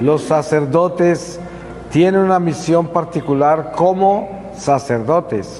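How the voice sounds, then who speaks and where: A man's fairly high voice at a very slow pace, with audible room echo and noticeable background noise. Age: 70s. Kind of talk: religious talk to youth. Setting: parish church.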